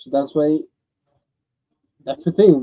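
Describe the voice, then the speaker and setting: A man speaks with a Spanish accent. His pitch is fairly high, with ordinary variation. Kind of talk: radio interview. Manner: halting.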